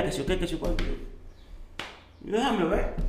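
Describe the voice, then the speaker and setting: This is a man with a Dominican accent. Room echo can be heard around his voice. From Dominican Republic, Santo Domingo. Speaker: chef and entrepreneur. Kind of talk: interview storytelling.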